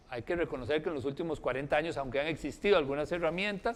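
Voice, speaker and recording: A man is speaking. His pitch is fairly high. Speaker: researcher. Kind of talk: lecture. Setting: forum with audience and live stream. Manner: fast.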